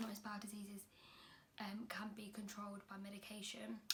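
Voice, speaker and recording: A woman speaks with an English accent at a fairly high pitch. Her voice is somewhat breathy. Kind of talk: personal vlog talk to camera.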